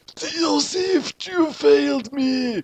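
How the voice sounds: Shouting in a put-on character voice, a man uses an extremely high, shrill pitch with a slightly mellow tone at a very slow pace. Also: ordinary pitch variation.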